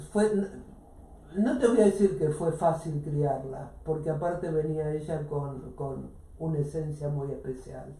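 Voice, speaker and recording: A woman's very deep, low voice at a fairly slow pace, with ordinary pitch variation and audible room echo. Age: 70s. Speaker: radio host. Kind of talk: casual chat.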